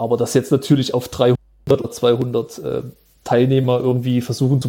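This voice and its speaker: A man at medium pitch speaks with vocal fry and monotone, flat intonation. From Thuringia, Jena. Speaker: web developer. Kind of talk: casual chat.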